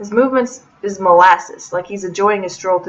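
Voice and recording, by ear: The text is read aloud in a natural voice. Pitch varies in an ordinary way.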